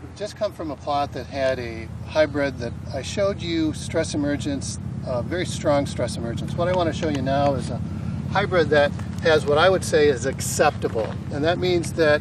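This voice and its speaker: A man talks at a moderate pace, the sound dry with no echo but with noticeable background noise. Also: ordinary pitch variation. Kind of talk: field tutorial explanation. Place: farm machine.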